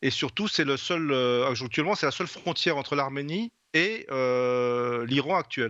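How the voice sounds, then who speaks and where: Against a quiet background, a man with a fairly high pitch and a bright, sharp tone speaks fairly slowly, his intonation lively and his loudness very even. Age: 60s. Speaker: novelist. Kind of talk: interview. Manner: halting, many hesitations.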